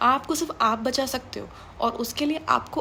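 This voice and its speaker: Through noticeable background noise, a woman speaks in a high voice. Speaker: motivational speaker. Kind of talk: motivational talk. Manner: Hindi-English code-mixing; harsh, blunt tone.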